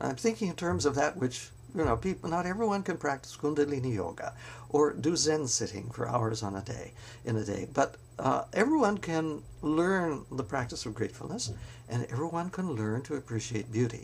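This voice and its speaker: This man talks at a moderate pace in a medium pitch, with vocal fry. His pitch swings very widely. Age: 70s. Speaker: spiritual vlogger. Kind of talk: reflective monologue. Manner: halting, many fillers.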